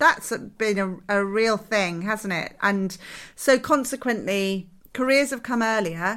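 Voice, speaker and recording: A woman with a British accent speaks at a fairly slow pace in a bright, sharp tone and medium pitch, with ordinary pitch variation. The recording is very clean, with a silent background. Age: 40s. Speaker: interiors podcast co-host. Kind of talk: casual chat.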